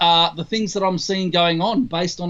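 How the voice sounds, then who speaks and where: With an Australian accent, a man speaks in a high pitch. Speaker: trumpeter and trumpet teacher. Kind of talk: interview Q&A.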